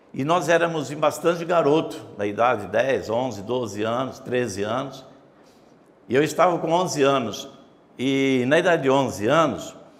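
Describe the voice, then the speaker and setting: Audible room echo and noticeable background noise surround a man. He speaks at a moderate pace and a fairly high pitch with ordinary pitch variation. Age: 70s. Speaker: pastor and former city councillor. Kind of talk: interview, personal memories.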